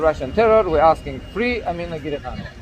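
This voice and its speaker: There is noticeable background noise. Through it, a man talks with ordinary pitch variation. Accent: Chechen. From Chechnya. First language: Chechen. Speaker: activist blogger. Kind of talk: explanation to police officer. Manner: halting, many fillers.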